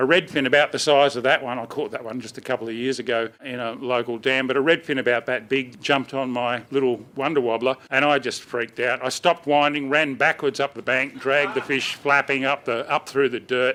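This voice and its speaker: The speech comes at a fairly quick pace with hardly any pauses. The tone is bright and sharp, with an Australian accent. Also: man, medium pitch for a man. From Australia, New South Wales. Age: 60s. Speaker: fishing presenter. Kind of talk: public talk to audience. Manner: casual, anecdotal.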